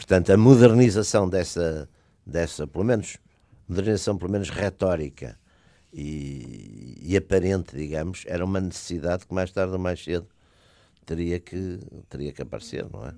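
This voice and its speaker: With a very deep, low pitch and a dark, mellow tone, a man talks at a moderate pace with ordinary pitch variation and big swings in loudness. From Porto, Portugal. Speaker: political commentator. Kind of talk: casual political debate. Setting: radio studio. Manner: hesitant, halting, repeats words.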